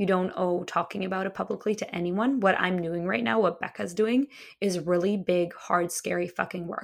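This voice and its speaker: Pitch varies in an ordinary way across a plain, everyday voice. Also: woman, medium pitch for a woman, moderate pace. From Russia, Moscow; moved to US at nine. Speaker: queer spiritual activist and author. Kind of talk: casual interview chat.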